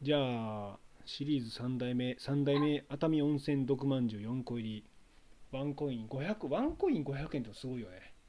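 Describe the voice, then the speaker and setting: A man with a dark, mellow tone, a moderate pace and big swings in loudness. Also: ordinary pitch variation. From Kansai, Japan. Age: 30s. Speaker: association chairman, podcast host. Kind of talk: casual chat; news reading. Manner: animated.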